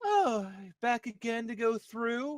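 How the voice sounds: A put-on character voice sounds shrill and fairly high in pitch.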